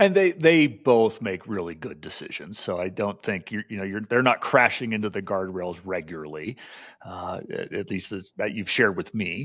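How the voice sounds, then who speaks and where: Over a silent background in a very clean recording, a man with a plain, everyday voice speaks at a moderate pace and a fairly low pitch, with lively intonation and big swings in loudness. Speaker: podcast co-host. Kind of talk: casual chat.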